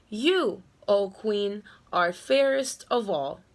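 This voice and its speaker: Using a put-on character voice, a woman speaks at medium pitch and a very slow pace. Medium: read story.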